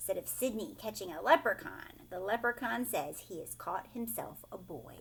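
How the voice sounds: Reading aloud in a natural voice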